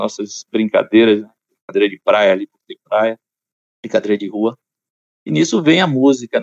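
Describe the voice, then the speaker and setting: Pausing long and often, a man at a medium pitch speaks at a moderate pace with lively intonation and big swings in loudness. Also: dry, close sound with no echo. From Salvador, Bahia, Brazil. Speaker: choir conductor and musician. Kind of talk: casual interview.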